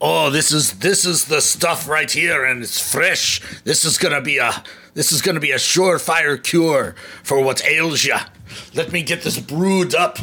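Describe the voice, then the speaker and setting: A man in a put-on character voice, fairly high in pitch, at a fairly slow pace. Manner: folksy, eager.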